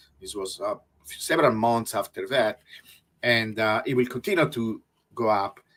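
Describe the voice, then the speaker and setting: Big swings in loudness mark this man's speech, which is broken by long, frequent pauses. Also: moderate pace. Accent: Italian. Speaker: researcher. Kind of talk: interview.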